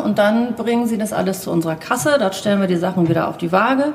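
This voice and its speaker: Noticeable background noise sits behind this recording. A woman speaks at a medium pitch. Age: 40s. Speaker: zero-waste shop owner. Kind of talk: interview. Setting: inside a shop during business hours.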